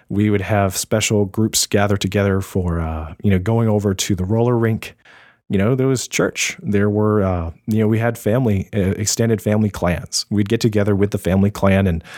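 With an American accent and a plain, everyday voice, a man talks at a moderate pace in a fairly low pitch, his intonation fairly even and his loudness very even, in a dry, close sound with no echo. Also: very clean recording, silent background. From US South. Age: 30s. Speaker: graphic designer and podcaster. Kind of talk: casual chat.

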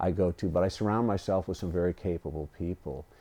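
With a Californian accent, a man speaks at a fairly quick pace in a very deep, low pitch and a dark, mellow tone. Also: quiet background. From US West Coast, Los Angeles County. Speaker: fire chief. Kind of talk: interview. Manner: casual.

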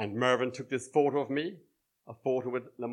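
With fairly even intonation, a voice reads aloud in a natural way over a quiet background.

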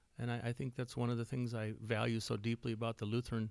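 In a very clean recording with a silent background, a man with an Upper Midwest accent speaks in a flat monotone. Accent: Upper Midwest American. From West Central Minnesota. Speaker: church music leader and songwriter. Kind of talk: casual interview.

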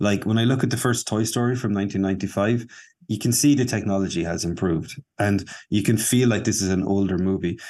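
Against a quiet background, a man with an Irish accent talks at a very fast pace. His fairly low voice has a dark, mellow tone and fairly even intonation. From Ireland. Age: 40s. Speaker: animator and filmmaker. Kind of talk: casual interview. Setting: video call.

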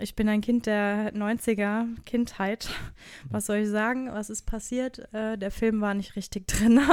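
A woman speaks at a fairly slow pace and fairly high pitch with monotone, flat intonation. The recording is very clean with a silent background. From Germany, Hesse (Wiesbaden). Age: 30s. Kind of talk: casual interview chat.

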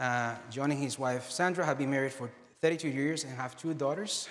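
An ordinary speaking voice comes from a man with fairly high pitch and fairly even intonation. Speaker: church pastor introducing guest. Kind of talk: introduction.

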